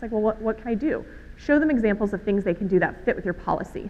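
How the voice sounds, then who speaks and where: With ordinary pitch variation, a woman speaks at a fairly high pitch. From Alabama, US South. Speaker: conference speaker on healthcare social media. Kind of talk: conference talk. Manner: fast.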